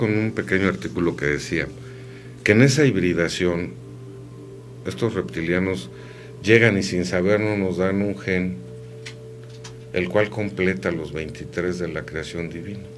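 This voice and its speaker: Lively intonation at a fairly slow pace comes through audible room echo, with music in the background. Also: man. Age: 50s. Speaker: radio host. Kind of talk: casual chat.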